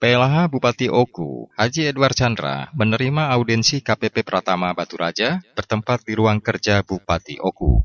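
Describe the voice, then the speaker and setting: A man with a normal speaking voice talks at a moderate pace and medium pitch, with lively intonation. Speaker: radio news presenter. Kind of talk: news reading. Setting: studio. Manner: formal.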